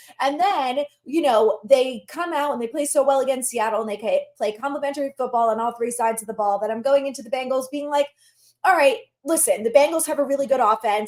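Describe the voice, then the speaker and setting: Loud and animated, a woman speaks at a fairly quick pace. Her voice is high, with ordinary pitch variation. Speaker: sports podcast host. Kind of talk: solo podcast commentary. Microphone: no external microphone, built-in mic.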